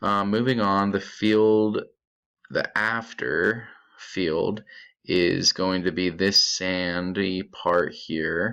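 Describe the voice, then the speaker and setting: A man's bright, sharp tone at a very slow pace, with fairly even intonation. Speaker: student presenting coding project. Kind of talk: screen-recorded tutorial. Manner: casual with filler words.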